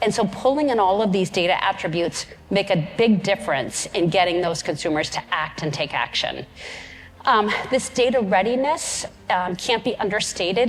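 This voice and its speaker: The speech has lively intonation, with noticeable background noise behind it. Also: woman. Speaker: keynote speaker. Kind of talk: conference keynote. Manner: fast; energetic.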